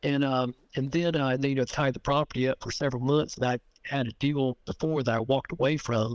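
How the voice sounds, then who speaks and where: Speaking at a fairly quick pace, a man holds a medium pitch and a flat monotone, with a dry, close sound and no echo. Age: 60s. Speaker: land seller. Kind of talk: phone negotiation. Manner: halting, repetitive.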